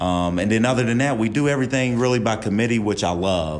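Audible room echo follows a man with an American accent who talks at a very fast pace. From West Virginia. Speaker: college basketball assistant coach. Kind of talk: podcast interview.

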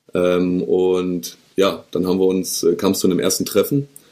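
The tone is dark and mellow. The pace is moderate. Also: man. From northern Germany, Hanover region. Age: 20s. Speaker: drinks startup co-founder. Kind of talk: interview.

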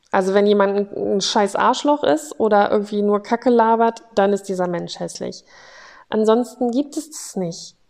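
A woman's voice shows ordinary pitch variation and keeps a moderate pace. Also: medium pitch for a woman. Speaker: podcast host sharing her mental health story. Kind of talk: personal testimony monologue. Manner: unscripted, with frequent filler sounds.

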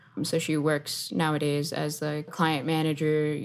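A woman with a very deep, low voice speaks with an American accent on a very clean recording with a silent background. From Miami, Florida (West Kendall). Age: 20s. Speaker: software engineer. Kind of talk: interview.

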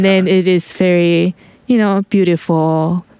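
A woman with a fairly low pitch speaks at a moderate pace with fairly even intonation over noticeable background noise. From South Korea. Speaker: artist. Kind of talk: interview.

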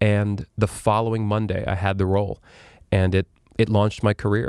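A man with an ordinary speaking voice talks at a fairly quick pace in a fairly low pitch, the sound dry and close with no echo, on a very clean recording with a silent background. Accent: American. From New York City (Manhattan). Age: 30s. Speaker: actor and singer. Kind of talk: casual chat.

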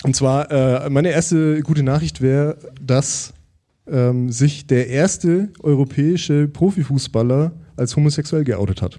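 Talking at a fairly slow pace with very even loudness, a man with a fairly high pitch and a dark, mellow tone uses ordinary pitch variation. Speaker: podcaster. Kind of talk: live podcast conversation. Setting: stage with audience.

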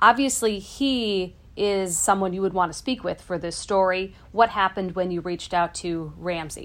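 In a normal speaking voice, a woman of medium pitch talks at a moderate pace with hardly any pauses, ordinary pitch variation and big swings in loudness. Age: 30s. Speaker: consumer TV reporter. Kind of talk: casual podcast chat. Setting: home basement, remote.

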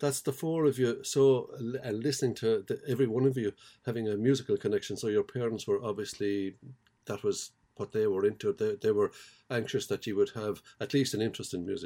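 A man with an Irish accent speaks at a fairly quick pace in a medium pitch with a dark, mellow tone. His intonation stays fairly even, and the recording is very clean with a silent background. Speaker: podcast host. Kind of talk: interview.

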